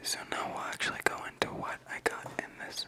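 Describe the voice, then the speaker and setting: A man whispers in a relaxed tone against noticeable background noise. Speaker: ASMR video creator. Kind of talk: whispered ASMR ramble to camera. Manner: whispered, casual, relaxed.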